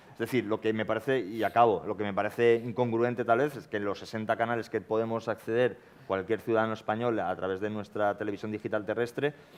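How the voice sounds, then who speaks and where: A man speaks at a very fast pace with hardly any pauses, his intonation monotone and flat. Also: medium pitch for a man. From Valencia region, Spain. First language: Valencian/Catalan (speaking Spanish). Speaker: panelist on TV policy debate. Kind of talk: panel debate.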